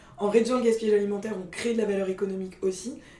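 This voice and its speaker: A woman with a fairly high voice speaks very fast in an energetic tone, with noticeable background noise. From Paris, France. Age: 20s. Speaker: startup co-founder. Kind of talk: interview. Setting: company office.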